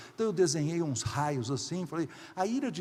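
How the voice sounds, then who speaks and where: A man speaks with very wide pitch swings. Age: 60s. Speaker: pastor. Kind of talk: sermon.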